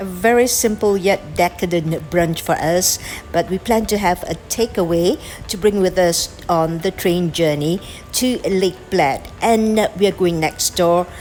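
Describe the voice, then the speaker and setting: Over music in the background, a woman with a non-native accent speaks at a fairly slow pace, her medium pitch showing ordinary variation. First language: not English. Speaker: travel and food vlogger. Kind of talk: vlog narration.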